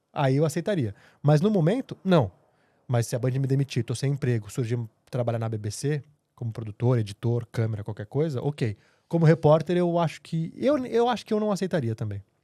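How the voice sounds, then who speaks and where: A man with a fairly high pitch talks at a fairly quick pace in a somewhat breathy, dark, mellow tone with lively intonation, recorded very cleanly with a silent background and a dry, close sound with no echo. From Brazil, São Paulo. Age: 30s. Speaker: TV journalist. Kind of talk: podcast interview.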